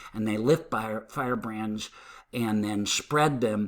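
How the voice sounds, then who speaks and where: A man talks fairly slowly in an ordinary speaking voice, his pitch varying in an ordinary way. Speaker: fire science instructor. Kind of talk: lecture.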